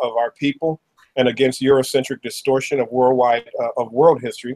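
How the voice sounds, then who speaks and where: A man speaks fairly quickly, and the background is quiet. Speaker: show host. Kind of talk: talk show host introduction. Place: home room. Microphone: webcam.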